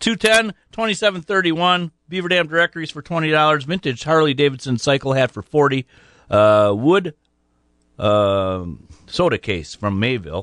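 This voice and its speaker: Male voice with an American accent and very wide pitch swings, over a quiet background. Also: fairly high pitch for a man, fairly slow pace, dry, close sound with no echo. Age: 60s. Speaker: radio host. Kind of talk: live radio show hosting, casual. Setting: radio studio, callers by phone. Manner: talkative, casual, friendly.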